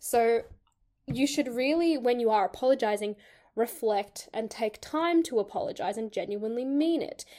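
On a very clean recording with a silent background, a woman with an Australian accent speaks fairly quickly at a high pitch, her tone dark and mellow and her intonation lively. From Sydney, Australia. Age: 20s. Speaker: podcast co-host. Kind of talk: casual chat.

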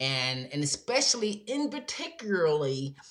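A woman at a fairly slow pace, with big pitch swings

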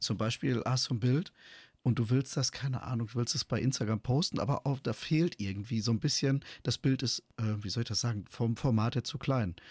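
The sound is dry and close, free of echo. There is a somewhat breathy quality to the voice. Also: man, medium pitch for a man, ordinary pitch variation, moderate pace. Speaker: podcast co-host. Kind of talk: casual chat.

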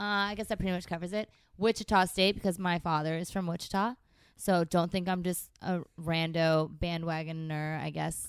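A woman's fairly low voice with a Californian accent, moderate pace and fairly even intonation, in a very clean recording with a silent background. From San Francisco Bay Area, California. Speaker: podcast co-host. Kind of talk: casual chat. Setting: studio.

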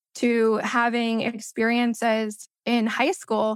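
Her voice is high-pitched, and this woman is recorded with a dry, close sound and no echo. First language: Spanish. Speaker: belonging coach and co-founder. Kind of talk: interview explanation.

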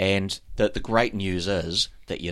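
On a very clean recording with a silent background, a man with a New Zealand accent speaks at a very deep, low pitch. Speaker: triathlon coach, podcast co-host. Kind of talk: casual chat.

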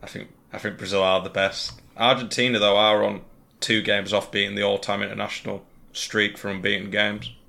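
With vocal fry and a bright, sharp tone, a man speaks fairly quickly in a fairly low pitch with fairly even intonation. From England. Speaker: gaming content creator. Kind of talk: casual chat. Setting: video call.

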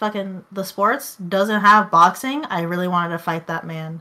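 A woman speaks at a moderate pace in an ordinary speaking voice. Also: very clean recording, silent background. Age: 20s. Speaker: podcast co-host. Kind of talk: casual chat.

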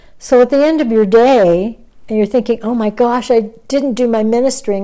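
Her tone dark and mellow, a woman talks at a moderate pace. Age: 70s. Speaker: author and religious teacher. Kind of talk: interview. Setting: at her home.

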